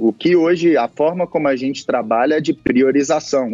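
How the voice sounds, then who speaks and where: A man with a normal speaking voice, fairly high in pitch, with ordinary pitch variation, a moderate pace and a dry, close sound with no echo. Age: 30s. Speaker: football club executive. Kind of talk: interview.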